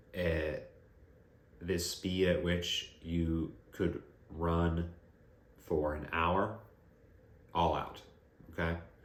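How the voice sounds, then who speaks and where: Very deep, low male voice, monotone and flat, very slow with long, frequent pauses, in a room with audible echo. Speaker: running coach and physical therapist. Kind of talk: tutorial.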